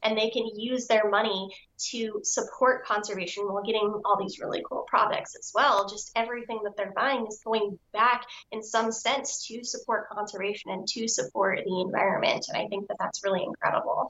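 A woman with an American accent speaks at a moderate pace and a fairly high pitch. Hers is a plain, everyday voice with ordinary pitch variation. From US Southwest, Albuquerque, New Mexico. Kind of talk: casual interview chat.

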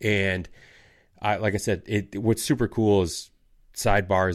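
A man with a Michigan accent speaks at a fairly low pitch with fairly even intonation. The recording is very clean, with a silent background. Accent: Upper Midwest US (Michigan). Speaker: outdoors podcast host. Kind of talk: casual chat.

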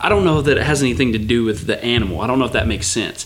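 This man's voice sits at a medium pitch. Noticeable background noise runs under the recording. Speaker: hunter, host's brother-in-law. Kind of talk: casual chat.

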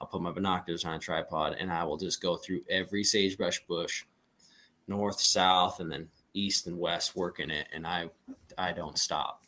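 In an American accent, the speaker has a bright, sharp tone and talks at a moderate pace with monotone, flat intonation. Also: man, very deep, low pitch for a man. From western Montana (Plains). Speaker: hunting outfitter and guide. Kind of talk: casual chat.

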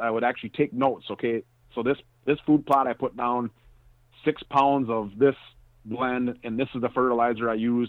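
A man speaks at a fairly quick pace in an ordinary speaking voice. His pitch sits in the medium range. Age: 40s. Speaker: hunting and land management expert. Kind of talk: interview.

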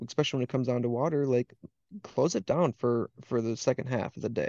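A medium-pitched man with an Upper Midwest accent and a dark, mellow tone, speaking at a fairly quick pace with fairly even intonation, in a dry, close sound with no echo against a quiet background. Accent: Upper Midwest (Wisconsin). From Wisconsin. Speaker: waterfowl hunting guide. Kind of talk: casual chat.

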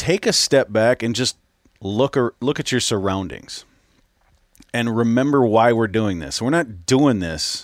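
A man speaks with a Minnesota accent. His intonation is lively. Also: dry, close sound with no echo. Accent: Minnesota, upper Midwest. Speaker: podcast host. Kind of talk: casual interview chat.

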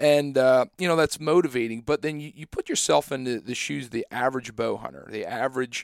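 In a very clean recording with a silent background and a dry, close sound with no echo, a man with an American accent talks at a moderate pace in an unremarkable speaking voice, with medium pitch and ordinary pitch variation. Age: 20s. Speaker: podcast host, agronomist. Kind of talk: casual interview chat.

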